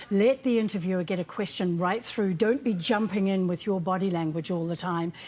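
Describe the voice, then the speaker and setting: With ordinary pitch variation, the voice carries a New Zealand accent. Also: woman. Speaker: communication coach. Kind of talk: TV interview.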